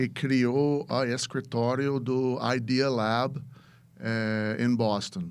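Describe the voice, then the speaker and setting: This man speaks with an English accent at a medium pitch. His pace is very slow. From US, Chicago. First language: English (speaking Portuguese). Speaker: venture capitalist. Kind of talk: podcast interview. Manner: halting, many repetitions.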